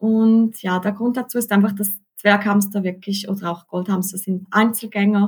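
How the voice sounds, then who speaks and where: A somewhat breathy woman speaks with a monotone, flat intonation. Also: medium pitch for a woman, moderate pace. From Switzerland. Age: 30s. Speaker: hamster keeping social media creator. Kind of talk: interview.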